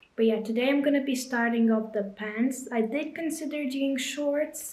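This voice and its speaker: A woman with a Lithuanian accent speaks at a high pitch with fairly even intonation. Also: moderate pace. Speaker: crochet and knitting content creator. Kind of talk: casual vlog narration.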